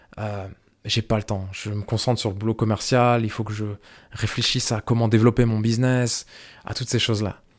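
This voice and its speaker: Monotone, flat intonation at a fairly quick pace, in a very clean recording with a silent background. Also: man, medium pitch for a man. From France. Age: 30s. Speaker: podcast host and filmmaker. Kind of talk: solo monologue to camera. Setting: filmed to camera. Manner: hesitant, many fillers and repetitions.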